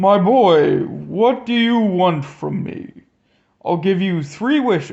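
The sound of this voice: Using a put-on character voice, a man speaks in a high pitch at a very slow pace.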